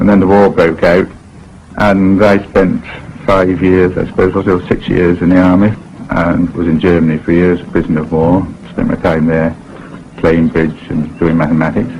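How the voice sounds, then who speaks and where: At a moderate pace and with fairly even intonation, a man with a very deep, low voice speaks over noticeable background noise. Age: 50s. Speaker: philosophy professor. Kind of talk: interview reminiscence.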